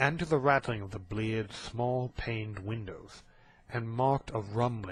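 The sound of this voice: The clip has an unforced reading voice. It runs through from start to finish.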